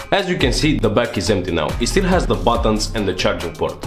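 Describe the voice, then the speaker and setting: Over music in the background, a man with a non-native accent talks at a fairly quick pace. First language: not English. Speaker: phone repair technician. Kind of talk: tutorial narration.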